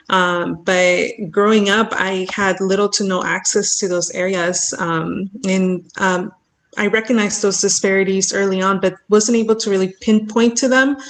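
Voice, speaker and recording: Using a plain, everyday voice with an American accent, a woman talks at medium pitch and a moderate pace with fairly even intonation and hardly any pauses. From Mexico, raised from 8 on Central Coast California. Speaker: environmental justice advocate. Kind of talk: panel discussion.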